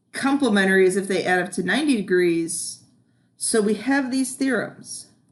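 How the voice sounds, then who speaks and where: This woman has an ordinary speaking voice with medium pitch. She talks at a moderate pace with lively intonation. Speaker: math teacher. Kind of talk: video lesson.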